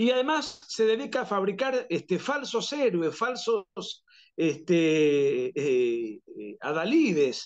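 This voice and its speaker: A man's high voice with a strong Argentine accent, very wide pitch swings and a very slow pace. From Argentina. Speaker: political writer and analyst. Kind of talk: interview. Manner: frequent fillers and restarts.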